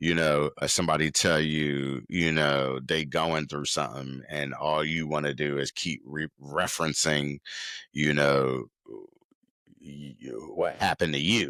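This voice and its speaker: A loud man's very deep, low voice, bright and sharp in tone, monotone and flat, at a fairly slow pace. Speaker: podcast host. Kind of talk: casual monologue.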